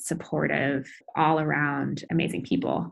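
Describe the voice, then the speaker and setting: A woman at a moderate pace, with vocal fry. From US Midwest, Iowa City. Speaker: pediatric intensive care doctor. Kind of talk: interview, casual.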